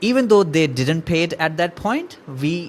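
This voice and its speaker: A man speaks with an Indian accent. His pace is fairly slow. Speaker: marketing agency owner. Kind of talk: tutorial. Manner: halting.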